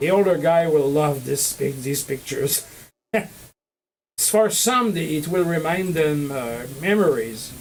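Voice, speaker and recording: In a Quebec accent, a man speaks at a fairly slow pace with fairly high pitch and lively intonation, and audible room echo can be heard. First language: French. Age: 50s. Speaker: model railroad hobbyist streamer. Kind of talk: livestream chat showing photos. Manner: halting, many fillers.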